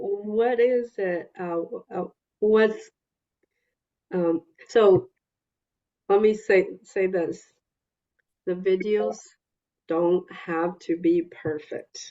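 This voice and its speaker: A woman talks at a very slow pace, leaving long, frequent pauses. Her medium pitch shows ordinary variation. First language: not English. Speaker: EMDR consultant leading a therapist consultation group. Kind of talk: group consultation meeting.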